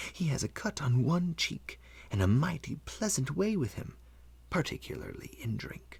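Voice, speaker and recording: A man whispers at a moderate pace. He uses a put-on character voice. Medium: read story. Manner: wheedling, leering.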